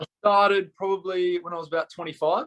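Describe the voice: A man talks at a fairly quick pace with an Australian accent. His pitch is high, his tone fairly bright and his intonation fairly even.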